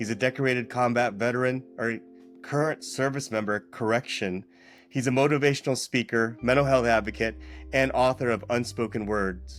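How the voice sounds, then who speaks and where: With music in the background, a man's medium-pitched voice moves at a moderate pace and varies in pitch an ordinary amount. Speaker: podcast host. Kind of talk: podcast intro.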